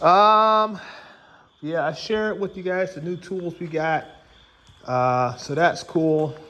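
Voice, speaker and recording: Speaking very slowly with long, frequent pauses, a man uses a high pitch and ordinary pitch variation. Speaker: tool reviewer and car restorer. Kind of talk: casual vlog narration. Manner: casual, filler-heavy.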